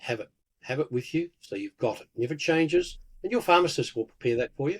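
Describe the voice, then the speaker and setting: Here a man with an Australian accent talks at a very fast pace in a fairly high pitch, his intonation lively and the sound dry and close with no echo. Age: 70s. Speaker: pharmacist and herbalist. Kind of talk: interview.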